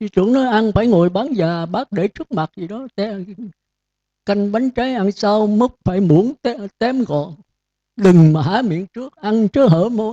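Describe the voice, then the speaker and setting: A man speaks at a high pitch and fairly slow pace, with ordinary pitch variation. His tone is dark and mellow, the sound dry and close with no echo. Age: 70s. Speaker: Buddhist monk teacher. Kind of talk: dharma talk. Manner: scolding.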